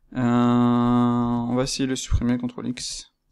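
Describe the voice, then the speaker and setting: A man's voice with music in the background. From France. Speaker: freelance 3D artist. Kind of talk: casual screen-recorded software tutorial. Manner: casual, hesitant, many fillers.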